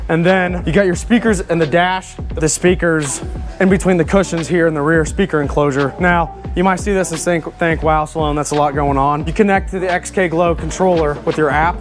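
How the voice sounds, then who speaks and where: Clear music plays in the background as a man talks at a moderate pace. His intonation is fairly even, and there are hardly any pauses. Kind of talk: product walkthrough. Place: garage.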